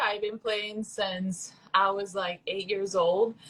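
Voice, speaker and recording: In a Puerto Rican accent, a woman speaks at a medium pitch with a bright, sharp tone. Her pace is fairly slow. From Puerto Rico. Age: 20s. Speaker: professional volleyball player. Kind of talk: casual chat. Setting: livestream.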